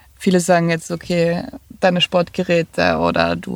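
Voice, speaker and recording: With noticeable background noise but a dry, close sound with no echo, a woman speaks at a fairly slow pace. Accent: eastern Austrian. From Lower Austria, near Vienna. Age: 30s. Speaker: van dweller. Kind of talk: interview.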